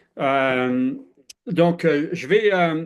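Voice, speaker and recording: Fairly high pitch from a man, with ordinary variation in pitch. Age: 60s. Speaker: former airline pilot, health speaker. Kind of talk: presentation talk. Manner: halting, many fillers.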